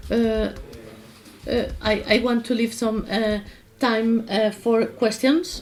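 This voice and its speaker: A somewhat breathy woman with a fairly high pitch speaks at a very slow pace, with fairly even intonation, very even loudness and long, frequent pauses. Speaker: workshop instructor. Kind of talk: tutorial. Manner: halting, many fillers.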